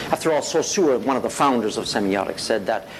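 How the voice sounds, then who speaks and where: Over noticeable background noise, a man talks with very wide pitch swings. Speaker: professor. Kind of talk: lecture. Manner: fast.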